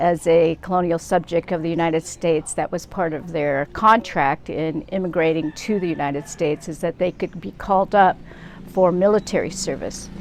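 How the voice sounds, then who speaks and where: A woman's fairly low voice in a Pacific Northwest accent, moderate in pace with fairly even intonation. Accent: American, Pacific Northwest. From US Pacific Northwest, Seattle. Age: 70s. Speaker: social justice activist. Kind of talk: interview.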